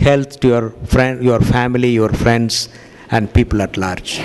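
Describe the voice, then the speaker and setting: A man at medium pitch and a fairly slow pace, under noticeable background noise. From India. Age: 60s. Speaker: cardiologist giving a health lecture. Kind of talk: lecture with consecutive interpretation. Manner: halting, many fillers.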